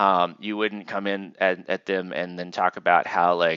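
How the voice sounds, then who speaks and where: This man's voice sits at a fairly low pitch. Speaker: university instructor. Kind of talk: lecture. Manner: fast; casual, filler-heavy.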